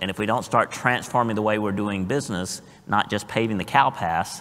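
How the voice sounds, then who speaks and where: A man with a Southern US accent speaks at a fairly low pitch. Noticeable background noise runs behind him. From US South. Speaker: blockchain industry panelist. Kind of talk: panel discussion.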